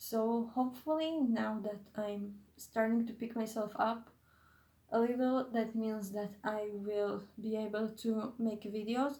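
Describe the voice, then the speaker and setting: With a non-native accent, a woman speaks at a fairly high pitch and a fairly slow pace, her intonation fairly even. Her somewhat breathy voice has a dark, mellow tone, heard with audible room echo. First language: not English. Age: 20s. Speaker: YouTuber / vlogger. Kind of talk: casual vlog monologue. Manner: halting, many fillers and self-corrections.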